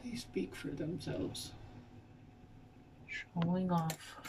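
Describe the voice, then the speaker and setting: A soft-spoken woman is heard over noticeable background noise. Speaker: vlogger. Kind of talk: casual talk to camera. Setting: at home in front of a mirror. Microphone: may be too quiet.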